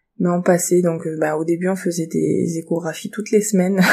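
Her voice is dark, mellow and somewhat breathy, set at a fairly low pitch. This woman speaks in a monotone with flat intonation. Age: 30s. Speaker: bereaved mother sharing her story. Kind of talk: personal testimony. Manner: hesitant with frequent fillers.

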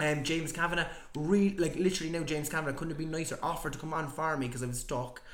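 A man with an Irish accent, fairly high pitch and fairly even intonation at a very fast pace, with audible room echo and noticeable background noise. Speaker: podcaster. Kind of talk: casual chat.

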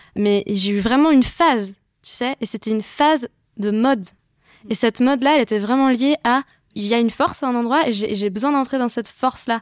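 A woman speaks high-pitched and fairly quick, with ordinary pitch variation, in a very clean recording with a silent background and a dry, close sound with no echo. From western France (Brittany and Vendée). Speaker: singer-songwriter. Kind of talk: casual chat.

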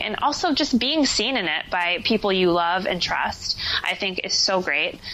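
A woman with an American accent speaks at a medium pitch over noticeable background noise. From New Jersey. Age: 20s. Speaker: actor and life coach. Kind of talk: podcast interview.

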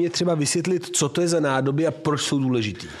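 A man talks over noticeable background noise. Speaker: podcast co-host, art historian. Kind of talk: casual chat.

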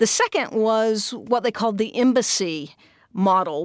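An ordinary speaking voice from a woman, fairly slow in pace with ordinary pitch variation, in a very clean recording with a silent background. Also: dry, close sound with no echo. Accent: American. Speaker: tech company managing director. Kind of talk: interview. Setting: studio.

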